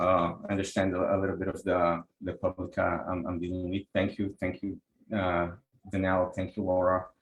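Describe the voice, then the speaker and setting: Speaking in a Brazilian Portuguese accent, a man talks at a moderate pace with a very deep, low pitch and a monotone, flat delivery. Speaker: energy healer and software engineer. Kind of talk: online class presentation. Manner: halting, many repetitions.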